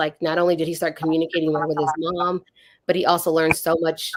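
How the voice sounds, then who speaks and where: A woman talks at a very fast pace in a flat monotone. Her voice is fairly low. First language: Spanish. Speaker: registered behavior technician. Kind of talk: panel discussion on livestream. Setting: livestream video call.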